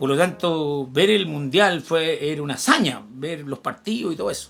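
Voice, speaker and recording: A man with a Chilean accent talks at a moderate pace. His pitch is fairly high, with ordinary variation. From Chile, Santiago. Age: 60s. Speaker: history teacher. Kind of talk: casual chat.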